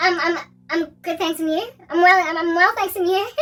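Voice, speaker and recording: A squeaky, put-on character voice at an extremely high pitch and a fairly quick pace. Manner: sweet, flirty.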